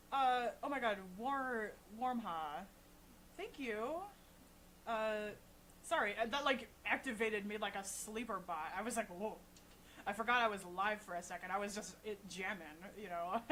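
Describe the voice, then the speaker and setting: A woman speaks with a bright, sharp tone and a fairly high pitch. Her speech has long, frequent pauses. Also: ordinary pitch variation, moderate pace. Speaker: livestreaming saxophonist. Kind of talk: casual live stream chat. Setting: live stream. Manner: soft-spoken; loud. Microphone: voice too quiet on mic, no equalizer.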